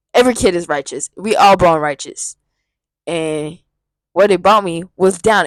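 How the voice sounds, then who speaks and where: In an American accent, a woman talks at a medium pitch and a moderate pace. Her pitch variation is ordinary, and the sound is dry and close with no echo. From US South. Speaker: spiritual vlogger. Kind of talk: casual monologue. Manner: soft-spoken; rambling, halting.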